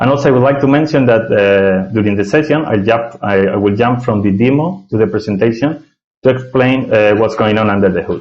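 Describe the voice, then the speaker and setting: A man with a Spanish accent speaks at a fairly quick pace and medium pitch, with ordinary pitch variation and very even loudness. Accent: non-native English, Spanish. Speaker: software architect, tech speaker. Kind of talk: technical presentation. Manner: hesitant, many filler sounds.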